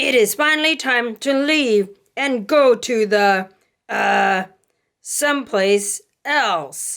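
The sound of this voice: A loud, very slow put-on character voice from a woman, pitched fairly high.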